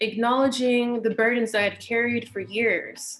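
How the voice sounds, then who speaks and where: A woman speaks in a calm tone with music in the background. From US West Coast, Inglewood, Los Angeles. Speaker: meditation teacher. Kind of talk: talk introducing herself before guided meditation. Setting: online webinar livestream.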